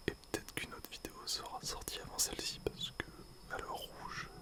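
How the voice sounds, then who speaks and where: Whispering at a fairly quick pace over noticeable background noise. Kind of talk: casual talk to camera.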